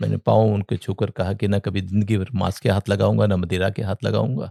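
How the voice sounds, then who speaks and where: Dry and close with no echo, a man's fairly low-pitched voice has a dark, mellow tone and vocal fry, moving at a moderate pace with fairly even intonation. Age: 60s. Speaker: entrepreneur and former air force serviceman. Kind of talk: interview storytelling. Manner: halting.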